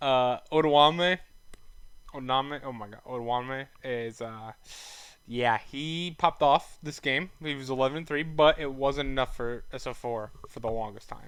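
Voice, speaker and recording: Ordinary pitch variation in a male speaker's medium-pitched delivery. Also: fairly slow pace. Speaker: esports commentator streamer. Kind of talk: casual live-stream commentary. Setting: live stream. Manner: casual, stumbling over words.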